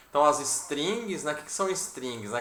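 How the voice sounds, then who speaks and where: A man's fairly high voice with lively intonation, audible room echo and noticeable background noise. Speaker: programming teacher. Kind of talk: online class. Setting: video call.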